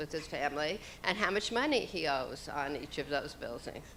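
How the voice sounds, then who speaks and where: A woman speaks with an American accent in a bright, sharp tone. Room echo is audible. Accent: New York accent, deepening. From New York. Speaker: panelist. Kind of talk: panel discussion.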